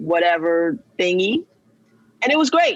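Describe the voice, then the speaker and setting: A woman with a New York accent and fairly low pitch. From New York, the Bronx. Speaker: plant-based nutrition coach. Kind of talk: podcast interview. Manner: animated.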